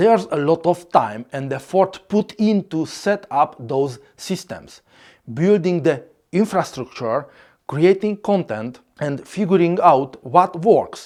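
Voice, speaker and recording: Very slow speech with a non-native accent, on a very clean recording with a silent background. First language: Hungarian. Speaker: content creator. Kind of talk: scripted narration.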